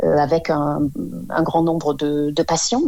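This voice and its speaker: Woman speaking at a fairly slow pace. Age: 50s. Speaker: Parkinson patient. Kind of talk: testimony. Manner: halting, many hesitations.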